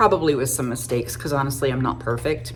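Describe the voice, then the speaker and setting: Noticeable background noise and audible room echo accompany a woman speaking at a very fast pace. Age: 50s. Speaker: makeup artist. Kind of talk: tutorial. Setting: home makeup studio. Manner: casual, chatty.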